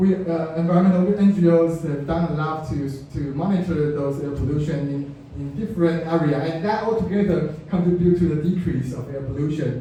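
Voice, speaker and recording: Amid noticeable background noise and audible room echo, a man with a Chinese accent speaks at a fairly high pitch and moderate pace, his pitch varying in an ordinary way. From Taiwan. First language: Mandarin Chinese. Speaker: environmental activist. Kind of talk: public talk with slides. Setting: talk before a small audience. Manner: halting, many repetitions and fillers.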